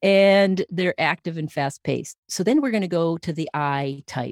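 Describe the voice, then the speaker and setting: A woman's unremarkable speaking voice, fairly low in pitch with ordinary pitch variation. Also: dry, close sound with no echo. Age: 60s. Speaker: leadership coach and personality trainer. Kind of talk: interview.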